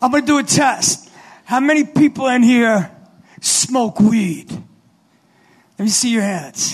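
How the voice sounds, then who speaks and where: Speaking fairly slowly in an animated tone, a man uses an extremely high pitch and leaves long, frequent pauses. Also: ordinary pitch variation. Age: 70s. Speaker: motivational speaker to teens. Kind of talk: testimony. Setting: stage with audience.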